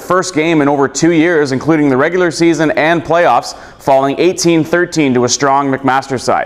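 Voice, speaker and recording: A man at a fairly high pitch with ordinary pitch variation, a moderate pace, hardly any pauses and very even loudness, over noticeable background noise. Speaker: sports broadcaster. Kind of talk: highlight show anchor read.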